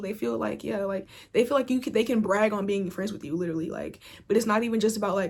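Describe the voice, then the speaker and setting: A woman speaks at a very fast pace. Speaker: tarot reader. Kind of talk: tarot reading monologue. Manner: casual, filler-heavy.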